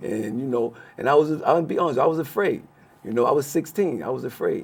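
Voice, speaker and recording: Here is a man with an unremarkable speaking voice and an American accent. His pitch is fairly high, with ordinary variation, and he talks at a fairly quick pace. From Brooklyn, New York. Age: 60s. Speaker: former prisoner. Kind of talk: interview.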